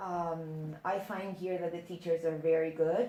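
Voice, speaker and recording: Over noticeable background noise, a woman speaks at a fairly low pitch with monotone, flat intonation. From Netherlands. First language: Dutch. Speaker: exchange student. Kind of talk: interview.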